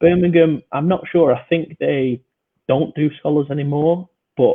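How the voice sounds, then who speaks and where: A man with a British accent speaks at a fairly slow pace. His voice is fairly high, and his intonation stays fairly even. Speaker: podcast host and amateur American football player. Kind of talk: casual podcast chat.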